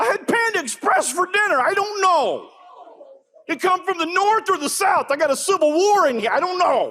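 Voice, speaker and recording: A man talks at a moderate pace in a raised, projected voice, with an extremely high pitch, lively intonation and an animated tone. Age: 50s. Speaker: comedian. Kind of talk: stand-up.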